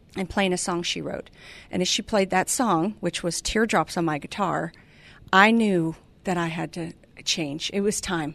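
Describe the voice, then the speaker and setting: A woman with a medium pitch uses a normal speaking voice at a moderate pace, with fairly even intonation and a quiet background. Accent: American. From California. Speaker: entrepreneur and author. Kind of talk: radio interview. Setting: radio studio.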